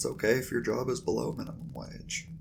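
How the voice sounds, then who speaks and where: Speaking at a moderate pace, a man with medium pitch uses a soothing, calm tone with vocal fry. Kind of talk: ASMR roleplay pep talk.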